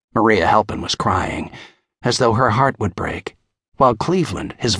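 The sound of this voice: This is an unforced reading voice with lively intonation. The background is quiet.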